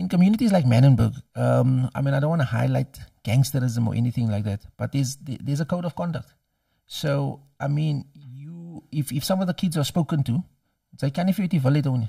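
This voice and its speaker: Speaking fairly quickly with a Cape Flats accent, a man has a fairly high, somewhat breathy voice with a dark, mellow tone, recorded very cleanly against a silent background with a dry, close sound and no echo. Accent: Cape Flats South African English. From Cape Town, South Africa. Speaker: doctor and university lecturer. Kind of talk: interview answer.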